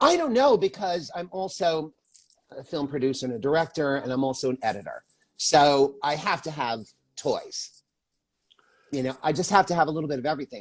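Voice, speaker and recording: Dry and close with no echo, the recording holds a man's plain, everyday voice. He speaks fairly quickly at a fairly high pitch with ordinary pitch variation. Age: 60s. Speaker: actor, filmmaker and makeup artist. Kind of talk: casual chat. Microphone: cheap headset mic.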